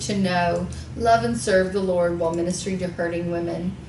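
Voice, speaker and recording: A woman with an American accent at a medium pitch, talking at a fairly quick pace, with noticeable background noise and audible room echo. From Texas, Houston. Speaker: radio talk show host. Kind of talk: reading bios aloud in interview.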